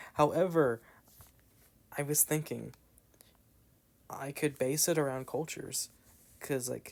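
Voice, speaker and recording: A man's fairly high voice with an American accent, fairly slow and marked by long, frequent pauses, with fairly even intonation. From US South. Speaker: gaming YouTuber. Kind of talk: casual gameplay chat.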